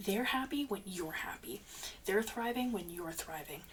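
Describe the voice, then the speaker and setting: Speech at a moderate pace, with noticeable background noise. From Canada. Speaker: tarot reader. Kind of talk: tarot reading monologue. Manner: casual, filler-heavy.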